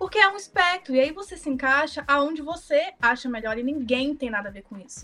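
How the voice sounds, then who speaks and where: A woman talks in a raised, projected voice at a high pitch with lively intonation. She goes at a fairly quick pace with hardly any pauses and big swings in loudness. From Brazil, Minas Gerais. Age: 20s. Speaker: designer, podcast guest. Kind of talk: casual chat.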